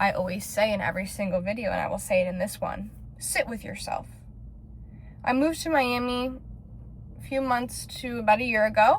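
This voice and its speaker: A woman with an American accent keeps to a moderate pace. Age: 20s. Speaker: lifestyle vlogger. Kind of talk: personal vlog monologue.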